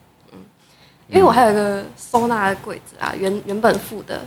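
A woman's fairly high voice with vocal fry. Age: 20s. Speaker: metalwork designer, recent graduate. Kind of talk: casual chat.

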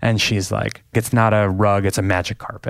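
The man has an ordinary speaking voice and a fairly low pitch. He talks at a fairly quick pace with fairly even intonation. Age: 40s. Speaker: author. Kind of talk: casual chat.

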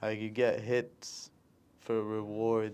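Against a quiet background, a man with a medium pitch talks in a monotone, flat intonation. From Jordan. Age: 20s. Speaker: professional boxer. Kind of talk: interview.

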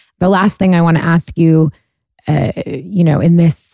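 A woman speaks at a fairly low pitch in a dark, mellow tone, with ordinary pitch variation and a moderate pace. The sound is dry and close, with no echo. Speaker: podcast host. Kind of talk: interview conversation.

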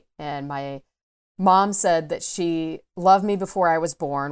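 A woman with an American accent speaks in a normal speaking voice, fairly low-pitched, with ordinary pitch variation. The sound is dry and close with no echo, a very clean recording with a silent background. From US South, Atlanta suburbs. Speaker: coming-out advocate and podcaster. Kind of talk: interview, personal story.

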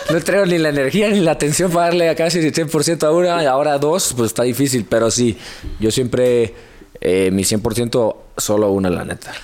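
Pitched fairly high, a man talks at a moderate pace with very wide pitch swings and very even loudness. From Hermosillo, Sonora, northern Mexico. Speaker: fitness content creator. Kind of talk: casual chat.

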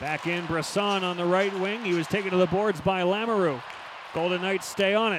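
Noticeable background noise behind fairly quick speech. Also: man, high pitch for a man. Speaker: hockey play-by-play broadcaster. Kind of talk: live hockey play-by-play commentary. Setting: arena broadcast booth. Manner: rapid-fire, clipped calls of names and puck movement; rises to excited goal calls with a laugh.

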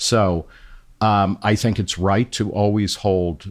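On a very clean recording with a silent background, a man talks at a fairly low pitch with fairly even intonation. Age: 50s. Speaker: journalist and magazine editor. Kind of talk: interview conversation. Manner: halting with many fillers.

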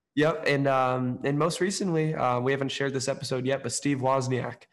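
Speaking with an American accent at a moderate pace, a man has an ordinary speaking voice of medium pitch and fairly even intonation. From Oakland, California. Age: young. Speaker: podcast host and entrepreneur. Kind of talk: interview.

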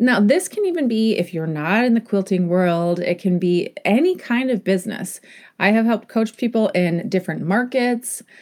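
A woman talks at a moderate pace in a calm tone, her pitch fairly high and her intonation lively. Her loudness stays very even, and the recording is very clean with a silent background. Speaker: podcast host and business coach. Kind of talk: casual interview chat.

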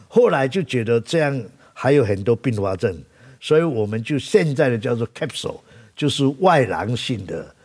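Very wide pitch swings at a fairly slow pace, with a Taiwanese accent. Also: man. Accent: Taiwanese Mandarin. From Taiwan, Taichung. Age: 70s. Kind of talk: interview. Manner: halting, filler-heavy.

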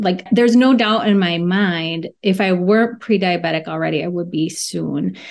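A woman speaks in a normal speaking voice at a medium pitch over a quiet background. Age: 40s. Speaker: registered dietitian. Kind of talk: casual interview chat. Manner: laughs often.

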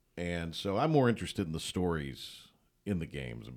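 The man's voice is very deep and low, with vocal fry. He talks at a fairly quick pace. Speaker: play-by-play announcer. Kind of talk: casual chat. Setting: studio.

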